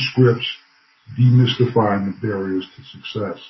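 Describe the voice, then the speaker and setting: A plain, everyday voice speaks in an American accent. Its pitch variation is ordinary. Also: man. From Bloomington, Illinois, US Midwest. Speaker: professor. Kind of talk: interview.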